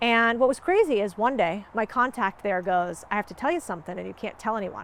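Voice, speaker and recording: In a very clean recording with a silent background, a woman speaks at a fairly quick pace with a fairly high pitch, an animated tone, and lively intonation. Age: 30s. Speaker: entrepreneur and business creator. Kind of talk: motivational monologue.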